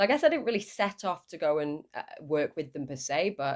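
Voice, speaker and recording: A woman speaks in a northern English accent. Her voice sits at a very deep, low pitch. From northern England, Lancashire. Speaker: shark scientist. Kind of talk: podcast interview. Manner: hesitant, with fillers.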